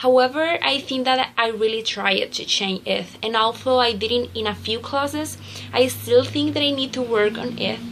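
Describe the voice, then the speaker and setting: A woman speaks with a Spanish accent. Background noise is noticeable. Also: moderate pace. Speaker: student teacher. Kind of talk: reflective journal reading. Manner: halting.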